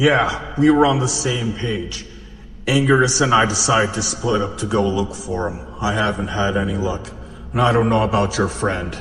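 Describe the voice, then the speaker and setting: A man's put-on character voice at a fairly low pitch and moderate pace, with a clear echo and clear background noise. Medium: audio drama. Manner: blunt.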